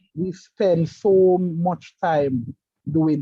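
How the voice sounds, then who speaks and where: A man with a fairly high voice talks with ordinary pitch variation. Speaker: electrical engineer and project manager. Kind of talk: interview. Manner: halting.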